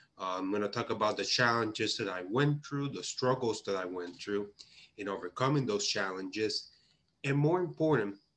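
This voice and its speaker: A man with a Puerto Rican accent, medium pitch, ordinary pitch variation and a moderate pace. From Puerto Rico. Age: 30s. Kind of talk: conference presentation. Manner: halting, with many fillers.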